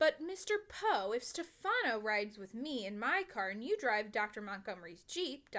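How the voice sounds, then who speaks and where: Using a put-on character voice, a woman speaks at a moderate pace with a fairly high pitch and very wide pitch swings. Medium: read story. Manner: grave.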